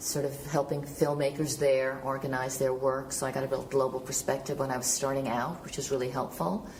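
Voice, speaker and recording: Speaking at a fairly quick pace with hardly any pauses, a woman with an American accent uses a very deep, low pitch and fairly even intonation, with audible room echo and noticeable background noise. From Killarney, Ireland, then New York from age seven. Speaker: film and television producer. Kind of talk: panel interview. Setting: film festival panel.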